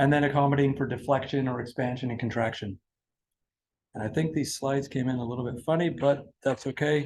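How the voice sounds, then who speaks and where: Somewhat breathy, a man talks at a very fast pace with a medium pitch and fairly even intonation. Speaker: product technical presenter. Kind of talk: industry presentation. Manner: halting, many repeated words.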